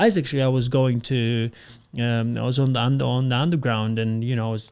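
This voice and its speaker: On a very clean recording with a silent background, the speaker talks at a fairly quick pace with a non-native accent. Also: man. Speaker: podcast host. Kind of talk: casual interview chat.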